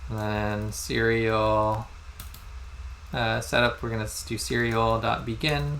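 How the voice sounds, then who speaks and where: A man speaks at a very slow pace amid audible room echo. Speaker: instructor. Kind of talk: lecture.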